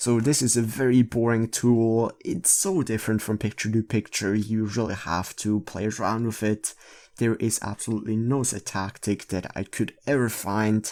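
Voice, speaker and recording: Medium pitch from a man, with fairly even intonation and hardly any pauses, on a very clean recording with a silent background. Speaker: photo editing tutorial creator. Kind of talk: tutorial. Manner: slow; halting.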